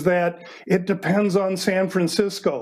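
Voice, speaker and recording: A man's high voice against noticeable background noise. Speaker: sports handicapper. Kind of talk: casual chat.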